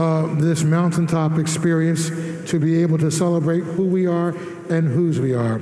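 A man speaks in a monotone, with flat intonation. Audible room echo fills the recording. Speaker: priest leading Mass. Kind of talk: liturgical address. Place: church.

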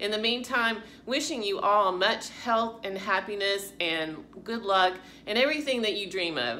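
Over light background noise, a woman talks at a moderate pace, her pitch varying in an ordinary way. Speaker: fitness channel vlogger. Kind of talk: casual vlog chat. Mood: warm, grateful. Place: home room. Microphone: phone near.

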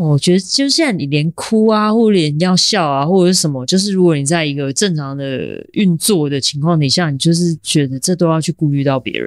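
With lively intonation and a normal speaking voice, a woman talks at a fairly low pitch and a fairly quick pace, leaving hardly any pauses. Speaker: percussionist and sound artist. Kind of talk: casual interview conversation.

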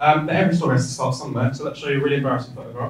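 Amid light background noise and audible room echo, a man speaks with an English Midlands accent. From English Midlands (Rugby, Warwickshire). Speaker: Paralympic cyclist, keynote speaker; keynote guest. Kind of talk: keynote speech. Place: hall.

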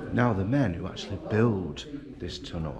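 A man is talking. Noticeable noise can be heard in the background. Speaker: travel vlogger. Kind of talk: casual vlog chat. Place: hall. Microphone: phone near.

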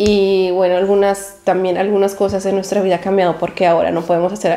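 Fast and dark, mellow in tone, a woman's voice sits at a medium pitch with little pitch movement.

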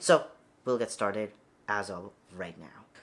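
The tone here is bright and sharp. A man delivers it at a moderate pace. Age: 20s. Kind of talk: tutorial. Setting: home video recording. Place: home room.

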